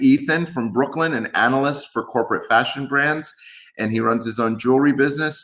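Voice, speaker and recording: With a New York accent, this man talks using ordinary pitch variation. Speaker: tech company executive. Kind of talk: webinar presentation.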